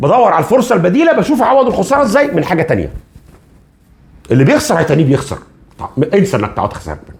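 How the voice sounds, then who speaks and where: With a Cairo accent, a man speaks in a high, animated voice with very wide pitch swings against noticeable background noise. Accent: Egyptian Arabic (Cairene). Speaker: finance educator. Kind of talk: educational talk.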